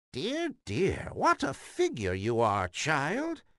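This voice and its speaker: The voice is a put-on character voice at a middle pitch. It moves at a very slow pace. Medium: read story. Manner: falsely sweet, coaxing.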